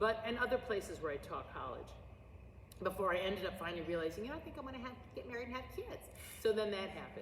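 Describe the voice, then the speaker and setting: A woman with a US Midwestern accent talks very fast in an animated tone, her fairly high pitch rising and falling in lively intonation, with big swings in loudness, audible room echo and noticeable background noise. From US Midwest, St. Louis Missouri. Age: 60s. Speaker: drama teacher and actress. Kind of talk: oral history interview. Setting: school auditorium.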